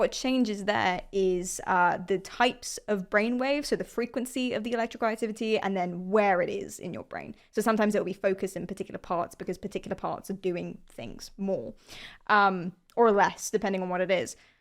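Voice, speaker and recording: A woman with a London accent at medium pitch, ordinary pitch variation and a fairly quick pace, on a very clean recording with a silent background. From London, England. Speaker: streamer. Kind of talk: casual interview.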